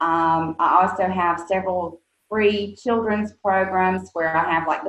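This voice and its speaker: A woman's fairly slow, monotone, flat delivery in a Southern US accent. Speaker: nonprofit executive director. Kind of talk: interview. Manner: hesitant, many fillers.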